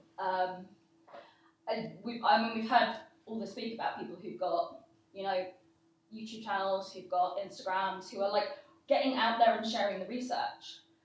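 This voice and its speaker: A woman's voice with fairly even intonation and long, frequent pauses, with audible room echo and noticeable background noise. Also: medium pitch for a woman, moderate pace, big swings in loudness. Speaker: conference speaker. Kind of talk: Q&A panel discussion. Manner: loud.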